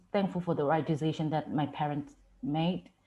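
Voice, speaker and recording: A woman speaks with a Myanmar accent. The background is quiet. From Myanmar, Chin State. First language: Chin. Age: 20s. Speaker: student speaker. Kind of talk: personal testimony.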